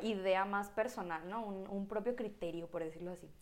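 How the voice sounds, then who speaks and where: A woman's medium-pitched, ordinary speaking voice at a moderate pace. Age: 20s. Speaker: physiotherapist and church volunteer. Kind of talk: casual chat.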